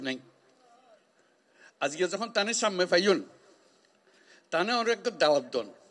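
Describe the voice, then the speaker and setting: A man's voice with lively intonation. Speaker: Nobel laureate, head of government. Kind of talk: public speech to refugees.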